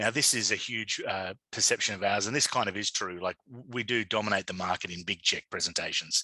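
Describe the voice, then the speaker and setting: Over a quiet background, a man with an Australian accent speaks at a fairly quick pace in a bright, sharp tone with fairly even intonation. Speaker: digital media consultant and conference speaker. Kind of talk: conference presentation. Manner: halting, many fillers.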